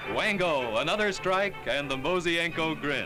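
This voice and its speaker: An upbeat tone over music in the background. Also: man. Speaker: newsreel narrator. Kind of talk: newsreel narration.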